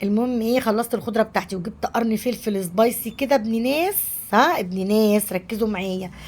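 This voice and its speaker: The voice is somewhat breathy and moves at a moderate pace with hardly any pauses. Pitch varies in an ordinary way. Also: woman, fairly high pitch for a woman. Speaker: home cooking vlogger. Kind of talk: cooking vlog narration. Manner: casual, conversational.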